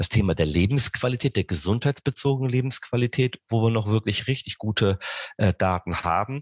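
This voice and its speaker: With lively intonation, a man speaks at a moderate pace in a dry, close sound with no echo. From southern Rhineland, Germany. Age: 40s. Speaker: sports scientist, professor. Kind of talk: interview. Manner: hesitant, many fillers.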